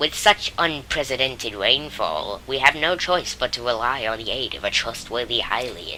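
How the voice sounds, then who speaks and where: Someone uses a put-on character voice at a low-to-middle pitch and a moderate pace. Background noise is clearly audible. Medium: game stream. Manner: earnest, courteous.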